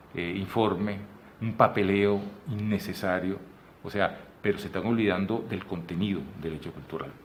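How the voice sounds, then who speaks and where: Speaking at a moderate pace, a man with a fairly low pitch leaves long, frequent pauses. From Venezuela. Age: 60s. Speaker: photographer and artist. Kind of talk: interview conversation. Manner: animated; halting.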